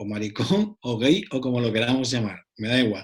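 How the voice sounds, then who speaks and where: A somewhat breathy man with an Andalusian accent, medium pitch and a fairly quick pace. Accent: Andalusian (Cádiz). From Cádiz, southern Spain. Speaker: psychologist and author. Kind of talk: round-table discussion.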